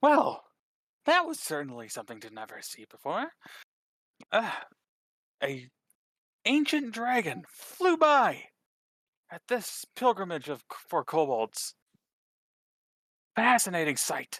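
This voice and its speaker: The speaker uses a put-on character voice at a fairly slow pace. Long, frequent pauses break up the delivery. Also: man, high pitch for a man. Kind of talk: polite, scholarly. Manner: excited.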